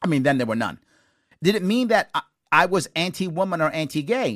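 Speaking very fast, a man talks with a New York accent and very wide pitch swings. The sound is dry and close, with no echo. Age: 50s. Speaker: talk show host and former candidate. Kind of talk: call-in talk show interview. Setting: studio.

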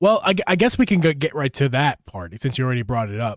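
With a Philadelphia accent, a man talks at a fairly high pitch in a dry, close sound with no echo, on a very clean recording with a silent background. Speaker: gaming podcast host. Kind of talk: casual chat. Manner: animated.

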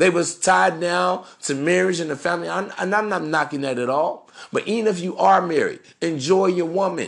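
A man's high-pitched, animated voice with ordinary pitch variation at a moderate pace. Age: 30s. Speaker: dating advice podcaster. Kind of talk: solo monologue.

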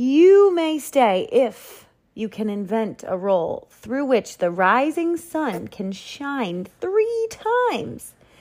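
A woman speaks very slowly in a put-on character voice, pitched high. Her tone is slightly mellow, and her pitch swings widely.

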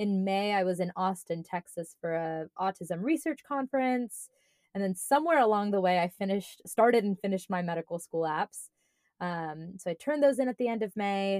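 In a plain, everyday voice, the speaker talks at a fairly quick pace with lively intonation, in a very clean recording with a silent background and a dry, close sound with no echo. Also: woman, medium pitch for a woman. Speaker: podcast co-host and medical school applicant. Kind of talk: casual chat.

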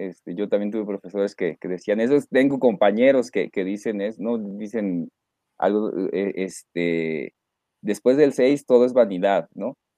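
A man speaks at a fairly slow pace with a dark, mellow tone and lively intonation, in a dry, close sound with no echo. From northern Mexico, Reynosa, Tamaulipas. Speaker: lawyer and university lecturer. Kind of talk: interview. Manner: halting, many fillers and repetitions; mature-sounding way of speaking.

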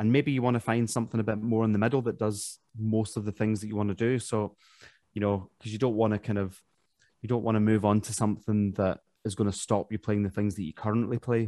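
In a Glaswegian accent, a man rattles along at a very fast pace with a fairly low pitch, a dark, mellow tone and monotone, flat intonation, the sound dry and close with no echo. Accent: Glaswegian Scottish. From Glasgow, Scotland. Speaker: professional trumpet player. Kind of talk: interview conversation.

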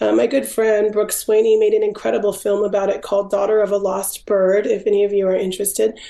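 A woman at a very fast pace with hardly any pauses, in an American accent, medium pitch, very even loudness, and monotone, flat intonation, over noticeable background noise. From Washington State, US. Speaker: photographer and author. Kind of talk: interview.

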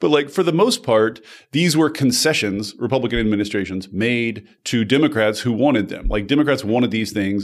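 An unremarkable speaking voice with lively intonation, delivered at a moderate pace. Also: man. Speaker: journalist. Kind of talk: interview conversation.

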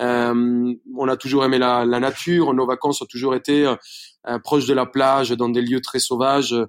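A man speaks with a Spanish accent at a fairly slow pace. His pitch is medium and his intonation fairly even. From Colombia, Bogota. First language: Spanish (speaking French). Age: 30s. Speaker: chef. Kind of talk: interview. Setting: remote recording.

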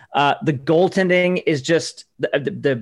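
An unremarkable speaking voice from a man, fairly high in pitch, with ordinary pitch variation and a quiet background. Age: 40s. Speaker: sports reporter. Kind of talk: casual chat.

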